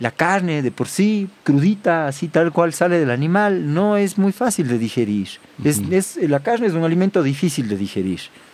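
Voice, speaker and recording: Speaking in a Cuenca Ecuadorian accent, a man with a fairly high pitch makes very wide pitch swings. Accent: Cuenca Ecuadorian Spanish, retained. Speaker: farmer and butcher. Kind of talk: casual interview. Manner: halting, with repeated words.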